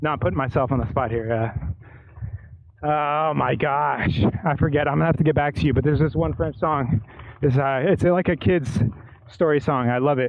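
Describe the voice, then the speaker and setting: A man talks at a fairly quick pace and a fairly high pitch, with ordinary pitch variation. His loudness stays very even, broken by long, frequent pauses. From United States. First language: bilingual English and Spanish. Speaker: cycling vlogger. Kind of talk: casual monologue while cycling. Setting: outdoors on a bike. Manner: halting.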